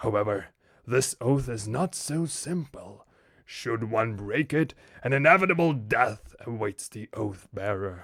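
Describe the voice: In a put-on character voice, a man talks at a moderate pace and medium pitch, recorded very cleanly over a silent background.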